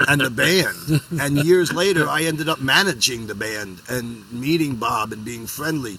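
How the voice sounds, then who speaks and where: Against noticeable background noise, a man with a New York accent talks at a moderate pace, his medium pitch showing ordinary variation. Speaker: music band manager. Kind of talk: casual chat.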